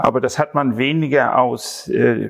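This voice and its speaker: This man has a normal speaking voice. His pitch is medium, with ordinary variation. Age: 60s. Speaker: farmer. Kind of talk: interview.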